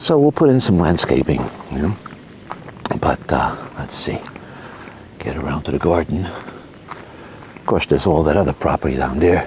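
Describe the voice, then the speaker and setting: Against noticeable background noise, a man with a very deep, low voice speaks at a moderate pace with lively intonation. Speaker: homeowner vlogger. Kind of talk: casual walkthrough vlog. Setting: outdoors. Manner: soft-spoken; hesitant, many fillers.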